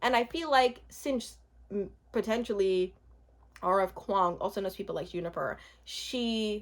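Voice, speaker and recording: Her tone is animated and her pitch fairly high, with ordinary variation. The woman keeps a moderate pace on a very clean recording with a silent background. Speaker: book vlogger. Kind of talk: casual chat. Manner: halting.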